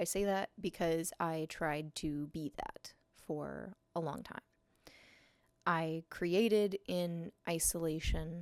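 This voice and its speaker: Soft-spoken and fairly low-pitched, a woman speaks very slowly with fairly even intonation, the sound dry and close with no echo. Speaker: artist and photographer. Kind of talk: personal vlog monologue. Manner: hesitant, many fillers.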